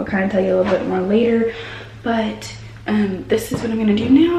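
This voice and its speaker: A woman whispering with an American accent, amid audible room echo and noticeable background noise. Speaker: vlogger. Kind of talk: casual vlog talk. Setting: workplace, doctor's office.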